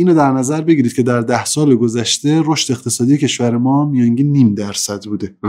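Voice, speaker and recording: In an ordinary speaking voice, a man talks at a medium pitch and varies it in an ordinary way. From Iran, Mashhad (Khorasan). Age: 30s. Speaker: business manager. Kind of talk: interview.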